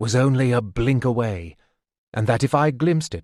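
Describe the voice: The pitch varies in an ordinary way. It is plain reading aloud over a quiet background.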